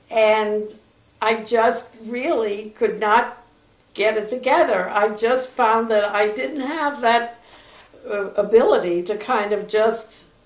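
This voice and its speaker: Speaking with an American accent at a very slow pace, a woman is heard with audible room echo. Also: ordinary pitch variation. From New York City, Lower East Side. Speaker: grandmother telling her life story. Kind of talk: personal reminiscence.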